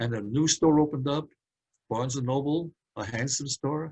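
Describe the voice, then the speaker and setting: In a New York accent, the speaker talks at a fairly slow pace in a somewhat breathy voice. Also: man. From Brooklyn, New York. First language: Hungarian. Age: 80s+. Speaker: speaker on metaphysics. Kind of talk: talk to a community group.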